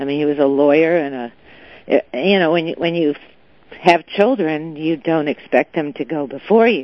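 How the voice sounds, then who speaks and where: A woman with an American accent, very deep and low in pitch, at a moderate pace with ordinary pitch variation. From Southern California, Beverly Hills. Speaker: businesswoman and philanthropist. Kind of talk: interview.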